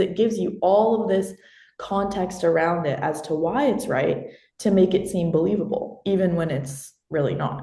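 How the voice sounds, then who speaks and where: A woman with an American accent, somewhat breathy, with a dark, mellow tone, fairly low pitch, lively intonation and a moderate pace, amid audible room echo. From Austin, Texas. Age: young. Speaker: college student presenter. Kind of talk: Q&A discussion.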